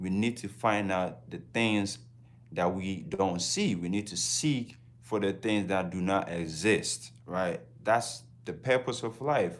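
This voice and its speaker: The speaker talks at a very slow pace with lively intonation and a Ghanaian accent. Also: man, fairly low pitch for a man. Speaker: travel vlogger. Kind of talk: casual livestream talk.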